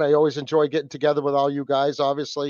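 A man's fairly high voice with a New England accent. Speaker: podcast host. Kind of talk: casual chat. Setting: video call.

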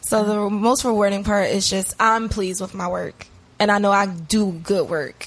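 Moderate speed and fairly even intonation in a plain, everyday voice. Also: woman, medium pitch for a woman. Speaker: interview guest, social media and web business owner. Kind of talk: casual podcast interview.

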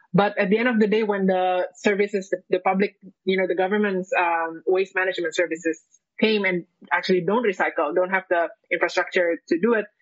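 At a fairly quick pace, a woman talks at medium pitch with very even loudness and fairly even intonation. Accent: Indonesian. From Indonesia. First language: Indonesian. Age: young. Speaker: environmental economist. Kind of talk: panel discussion. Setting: live stream. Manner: halting.

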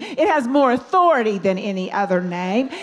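A woman's pitch swings very widely as she talks. Noticeable background noise runs behind her. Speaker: minister and singer. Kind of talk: sermon. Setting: church.

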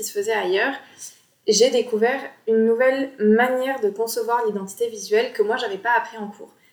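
A plain, everyday voice from a woman, fairly high-pitched and fairly quick, with fairly even intonation. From Bordeaux, France. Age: 20s. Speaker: graphic designer and podcast host. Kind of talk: casual solo podcast talk. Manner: relaxed, informal.

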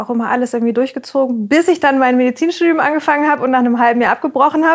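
A high-pitched woman's voice with fairly even intonation. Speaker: podcast co-host, restaurant owner. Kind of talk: casual chat.

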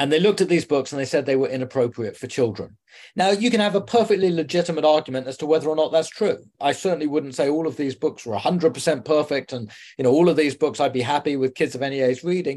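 Speaking at a very fast pace, a man with a fairly high pitch uses ordinary pitch variation. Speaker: journalist. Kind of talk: interview. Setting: home.

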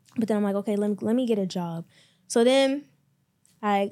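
On a very clean recording with a silent background, a woman with an American accent speaks at medium pitch in a dark, mellow tone with fairly even intonation. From US, Maryland. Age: 20s. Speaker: entrepreneur and clothing brand owner. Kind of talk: casual interview.

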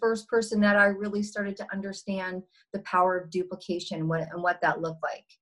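A woman talks at a fairly quick pace in a medium pitch. Hers is a normal speaking voice. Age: 50s. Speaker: entrepreneur. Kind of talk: interview.

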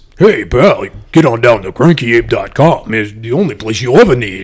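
Using a put-on character voice, a man talks at medium pitch and a moderate pace. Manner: friendly, salesy.

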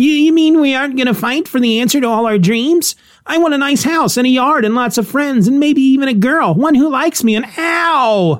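A put-on character voice at a moderate pace with hardly any pauses. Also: female-sounding voice, high pitch for a woman. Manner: whiny, pleading.

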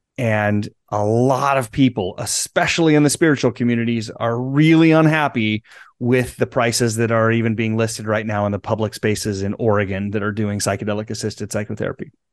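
A man with an American accent and an unremarkable speaking voice, fairly quick pace, medium pitch and ordinary pitch variation, against a quiet background. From US Midwest, central Nebraska. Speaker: transformational guide. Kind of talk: interview.

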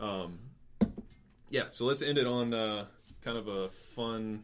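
Music plays in the background as the voice moves at a moderate pace with fairly even intonation. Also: man. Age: 20s. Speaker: podcast host and athletic trainer. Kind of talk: casual interview chat.

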